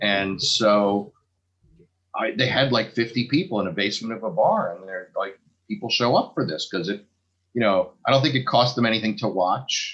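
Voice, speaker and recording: This man has a plain, everyday voice at a medium pitch. He talks at a fairly quick pace against a quiet background. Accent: American. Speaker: stand-up comedian. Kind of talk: casual chat.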